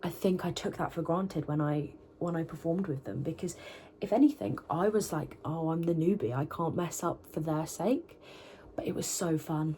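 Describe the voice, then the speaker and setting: This woman speaks at a moderate pace in a British accent, her pitch fairly low with ordinary variation. Her tone is dark and mellow and somewhat breathy. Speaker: vocalist and university student vlogger. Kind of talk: vlog talking to camera. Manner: casual, chatty with fillers.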